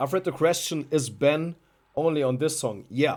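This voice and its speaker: A man with a German accent talks at a moderate pace. The recording is very clean, with a silent background. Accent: German accent, non-native English. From Germany. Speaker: musician presenting own album. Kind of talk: live stream chat. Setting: live stream. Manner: halting, many fillers and repeats.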